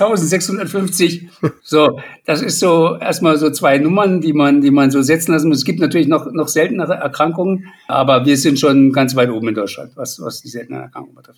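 A man speaks at a moderate pace with ordinary pitch variation. His loudness swings widely. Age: 50s. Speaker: patient advocate with rare lung disease. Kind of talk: interview.

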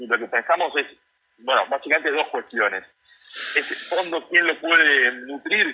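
Speaking at a moderate pace, a man has an unremarkable speaking voice, fairly high in pitch, with ordinary pitch variation. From Buenos Aires suburbs (Lomas de Zamora). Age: 30s. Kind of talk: radio interview.

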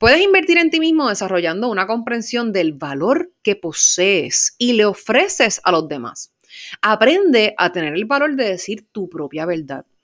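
In a very clean recording with a silent background, a woman with a fairly high voice talks in an animated tone, her pitch swinging very widely. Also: fairly slow pace. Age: 20s. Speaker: podcast host and life coach. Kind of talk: motivational monologue.

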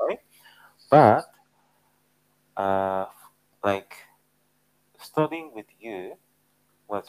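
A man speaks at a very slow pace with a fairly low pitch. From Japan. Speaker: podcast co-host. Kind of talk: casual chat.

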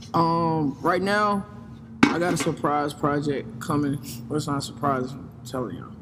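Noticeable background noise sits under a man speaking at a moderate pace. His voice is fairly high with ordinary pitch variation and big swings in loudness.

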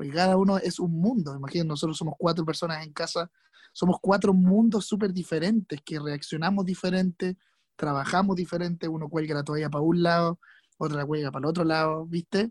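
Fairly quick and fairly even in intonation, a man's high-pitched voice sounds dry and close, with no echo. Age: 20s. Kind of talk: casual chat.

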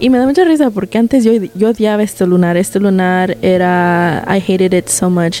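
A woman speaks at a medium pitch and a moderate pace. Her loudness stays very even against noticeable background noise. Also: ordinary pitch variation. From Mexico, Guanajuato. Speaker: podcast host. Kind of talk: storytelling. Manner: code-switching Spanglish.

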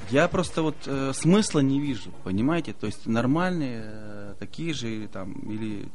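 Lively intonation comes through with audible room echo. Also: man. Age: 40s. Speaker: regional politician. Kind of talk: casual chat.

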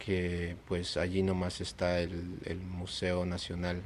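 A man speaks in a very deep, low voice with a monotone, flat delivery, and the room echo is audible. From Peru, then USA from age 10. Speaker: visual artist. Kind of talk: casual interview. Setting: late-night chat over beers.

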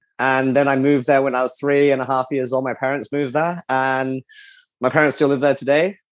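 A man with an Australian accent speaks at a fairly quick pace and medium pitch against a quiet background. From Australia (Adelaide). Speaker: race car driver. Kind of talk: interview. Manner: animated.

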